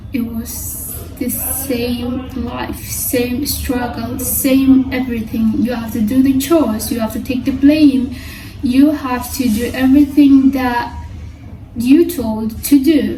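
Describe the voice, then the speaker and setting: Amid music in the background and audible room echo, a woman with a Somali accent speaks at a very slow pace in a high pitch with monotone, flat intonation. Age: 20s. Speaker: vlogger. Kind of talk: personal vlog monologue. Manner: halting.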